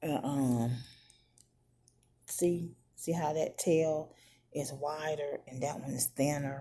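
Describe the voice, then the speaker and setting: Her very deep, low voice has a dark, mellow tone and stays quiet and monotone, moving at a very slow pace with long, frequent pauses. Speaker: beauty vlogger. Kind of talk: makeup tutorial. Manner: halting.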